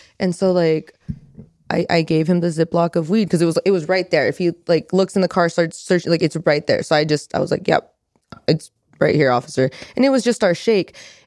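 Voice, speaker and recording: In a normal speaking voice with an American accent, a woman talks at a fairly quick pace and a fairly low pitch, recorded with a dry, close sound and no echo. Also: ordinary pitch variation, very even loudness. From California, Merced area (Central Valley). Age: 20s. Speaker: adult content creator. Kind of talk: casual chat. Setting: studio.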